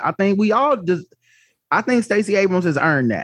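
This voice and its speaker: With an American accent and lively intonation, a man speaks at a moderate pace against a quiet background. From New York. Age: 40s. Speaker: podcast co-host. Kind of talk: casual chat.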